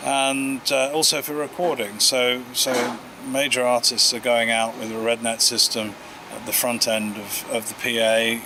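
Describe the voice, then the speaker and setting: Noticeable background noise accompanies a male voice at a medium pitch with fairly even intonation. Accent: English. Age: 60s. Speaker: audio company founder. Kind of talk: interview. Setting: award event. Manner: hesitant, many fillers.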